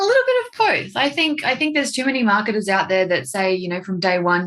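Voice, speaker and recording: A woman speaks with an Australian accent. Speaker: marketing agency owner. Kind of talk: podcast interview.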